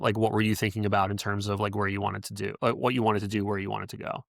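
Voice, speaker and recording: On a very clean recording with a silent background, a man with a fairly low pitch and an American accent talks at a very fast pace. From New York suburbs, US. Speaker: podcast host and wedding photographer. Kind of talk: podcast interview. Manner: halting, many fillers.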